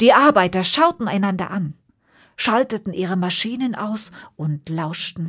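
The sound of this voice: A woman speaks at a medium pitch and a fairly slow pace, with lively intonation and a slightly husky edge. The recording is very clean, with a silent background.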